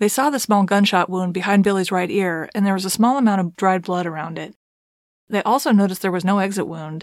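A woman speaks at a fairly quick pace in an unremarkable speaking voice. Her medium pitch has ordinary variation. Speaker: true crime podcast host. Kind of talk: scripted narration.

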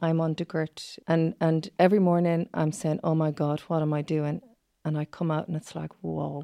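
Against a quiet background, a voice in a west of Ireland accent speaks at a moderate pace with a dark, mellow tone and monotone, flat intonation, the sound dry and close with no echo. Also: woman, very deep, low pitch for a woman. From Achill Island, County Mayo, Ireland. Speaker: psychotherapist. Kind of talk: interview.

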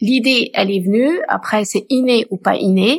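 On a very clean recording with a silent background and a dry, close sound with no echo, a woman speaks at a fairly slow pace in a somewhat breathy voice. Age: 50s. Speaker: community volunteer helping singles marry. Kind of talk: casual chat.

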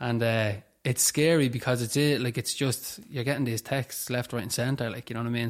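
With a Dublin accent, a man talks at a fairly quick pace and a medium pitch. His intonation is monotone and flat, on a very clean recording with a silent background. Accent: Dublin Irish. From Dublin, Ireland (Tallaght area). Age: 20s. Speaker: person in addiction recovery. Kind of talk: testimony in interview.

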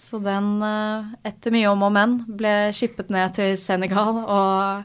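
A woman speaks at a very slow pace in a monotone, flat intonation. The recording is very clean, with a silent background. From Norway, Asker (near Oslo). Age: 20s. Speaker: tech startup founder. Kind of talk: interview. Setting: studio.

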